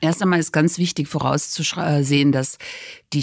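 Moderate pace and fairly even intonation. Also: woman. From Cologne, Germany. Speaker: patent executive. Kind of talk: interview.

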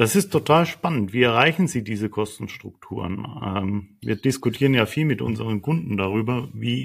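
The voice carries vocal fry and ordinary pitch variation. The recording is very clean, with a silent background. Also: man. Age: 50s. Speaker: podcast host. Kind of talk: interview.

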